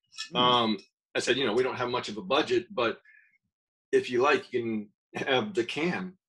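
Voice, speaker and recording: Against a quiet background, a man speaks with an American accent. His bright, sharp voice makes very wide pitch swings. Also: moderate pace. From US South. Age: 50s. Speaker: podcast co-host and artist. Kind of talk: casual interview. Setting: video call. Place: home room. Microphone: video call.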